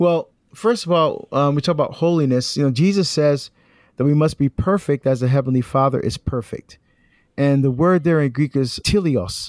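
Speaking at a moderate pace, a man has an unremarkable speaking voice with a fairly high pitch and ordinary pitch variation. The sound is dry and close, without echo. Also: very even loudness, very clean recording, silent background. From New Jersey, US (born in Barbados). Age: 50s. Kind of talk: interview.

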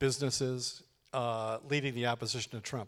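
In a plain, everyday voice, a man speaks at a medium pitch and moderate pace with fairly even intonation. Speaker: public administration professor. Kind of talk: public interview. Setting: stage with audience.

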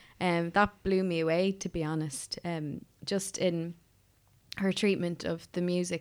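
A woman in an Irish Midlands accent, fairly low in pitch and monotone in flat intonation, on a very clean recording with a silent background. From Ireland, County Offaly. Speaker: composer. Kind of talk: interview conversation. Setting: studio.

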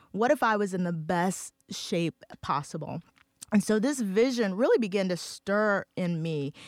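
A woman talks at a fairly slow pace in a normal speaking voice, medium in pitch with lively intonation. The sound is dry and close with no echo, on a very clean recording with a silent background. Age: 40s. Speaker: church leader. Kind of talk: casual chat.

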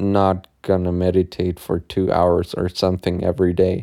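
A man with a German accent talks at a fairly slow pace in a dark, mellow tone. The sound is dry and close, with no echo. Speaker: podcast host. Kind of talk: solo podcast monologue. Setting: in bed at home. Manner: casual.

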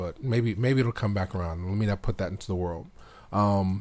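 Using an unremarkable speaking voice, a man with an American accent talks at a moderate pace and a fairly low pitch with ordinary pitch variation, recorded very cleanly against a silent background. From Philadelphia, Mount Airy. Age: 40s. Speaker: filmmaker. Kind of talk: interview. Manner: conversational with many fillers.

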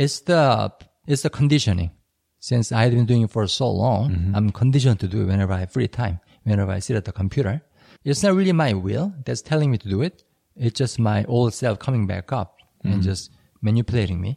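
A man with a Korean accent speaks very fast in a dark, mellow, somewhat breathy tone at medium pitch, with lively intonation and a dry, close sound with no echo. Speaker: language learning podcast co-host. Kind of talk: casual chat.

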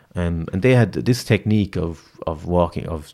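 A man's very deep, low voice in an Irish accent, at a moderate pace. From rural Ireland. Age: 30s. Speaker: youth programme director. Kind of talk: casual interview.

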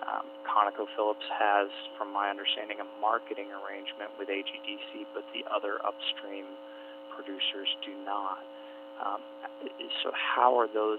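Amid noticeable background noise, a man with a fairly low pitch talks at a moderate pace with very wide pitch swings. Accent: American. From Alaska. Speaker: energy analyst. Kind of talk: radio interview. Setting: radio broadcast.

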